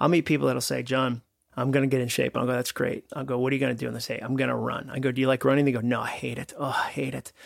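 At a very fast pace, a man speaks at a medium pitch with vocal fry. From Massachusetts, North Shore. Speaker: author and speaker. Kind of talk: interview conversation. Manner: animated.

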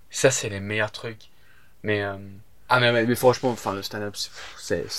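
A man speaks at a fairly low pitch in a monotone, flat intonation, at a fairly slow pace. He leaves long, frequent pauses, and his loudness swings widely. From England (Southampton). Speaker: stand-up comedian. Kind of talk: casual chat. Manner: halting.

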